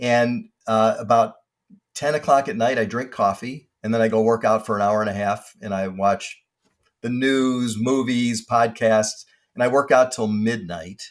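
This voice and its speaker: A man at medium pitch speaks in an unremarkable speaking voice, keeping his intonation fairly even and his pace fairly slow. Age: 60s. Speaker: industrial real estate broker. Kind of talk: casual interview chat.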